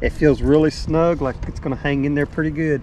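A man speaks in a dry recording with no echo, against noticeable background noise. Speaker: fishing vlogger. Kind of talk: casual vlog chat. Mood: relaxed, cheerful. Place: boat. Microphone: phone near.

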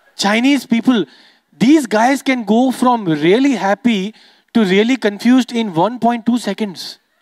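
Against a quiet background with dry sound and no echo, a man with an extremely high pitch talks at a fairly slow pace and ordinary pitch variation. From Dubai, Sindhi Indian family. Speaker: stand-up comedian. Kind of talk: stand-up. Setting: stage with audience. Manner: animated. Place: stage. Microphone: handheld.

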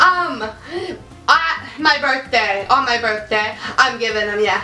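With lively intonation, a woman speaks at a very slow pace and a fairly high pitch. Faint music plays in the background, and there is audible room echo. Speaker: beauty and lifestyle youtuber. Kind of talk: game talk, guessing misheard lip-read questions. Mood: giggly, playful. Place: home room. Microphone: camera far.

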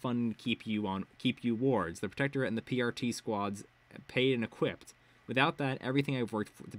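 The clip has an unforced reading voice.

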